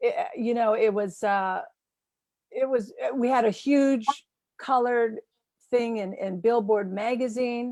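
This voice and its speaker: A woman with a high pitch and a dark, mellow tone speaks at a fairly slow pace with ordinary pitch variation and long, frequent pauses. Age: 60s. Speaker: film festival interviewer, singer. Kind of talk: interview.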